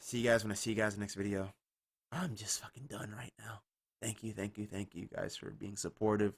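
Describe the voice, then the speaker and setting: A man talks fairly quickly in a fairly low, somewhat breathy voice. His intonation is fairly even, while his loudness swings a lot. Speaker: gaming youtuber. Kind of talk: casual vlog. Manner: monotone.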